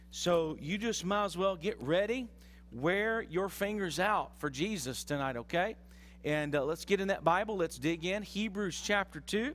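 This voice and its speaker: Over music in the background, this man talks with a high pitch. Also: ordinary pitch variation, moderate pace. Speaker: pastor. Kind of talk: sermon. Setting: church. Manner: animated, conversational preacher, teaching with audience call-and-response. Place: church. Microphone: headset.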